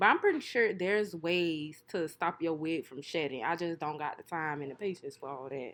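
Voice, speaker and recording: With hardly any pauses, a woman speaks in a fairly low pitch and an animated tone, her loudness swinging widely while her pitch varies in an ordinary way. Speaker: hair and wig vlogger. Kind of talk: casual voiceover. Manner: fast.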